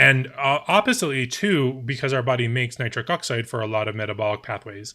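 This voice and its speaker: In a very clean recording with a silent background, a man speaks at a moderate pace and a medium pitch. His tone is bright and sharp, with ordinary pitch variation. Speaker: health writer and streamer. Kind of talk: live stream talk. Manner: halting, many fillers.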